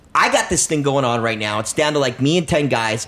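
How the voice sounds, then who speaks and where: A man talks at a very fast pace with ordinary pitch variation, and background noise is noticeable. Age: 30s. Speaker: actor and model. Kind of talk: casual chat. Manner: animated.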